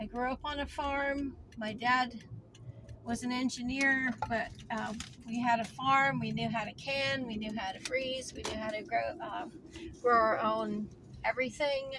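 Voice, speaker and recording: Amid noticeable background noise, a woman speaks at a high pitch and a fairly slow pace with fairly even intonation. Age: 60s. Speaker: homesteading vlogger. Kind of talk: casual vlog monologue. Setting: in a car.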